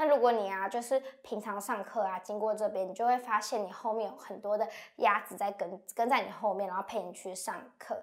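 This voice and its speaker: A woman's fairly high-pitched voice at a fairly quick pace, with ordinary pitch variation, in a very clean recording against a silent background. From Miaoli, Taiwan. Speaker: university student. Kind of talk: lecture.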